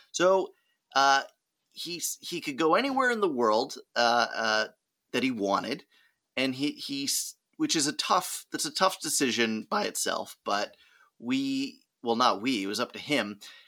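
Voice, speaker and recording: The speech moves at a fairly slow pace with long, frequent pauses, captured in a very clean recording against a silent background. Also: man. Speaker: travel podcaster. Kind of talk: casual chat. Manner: animated, laughing.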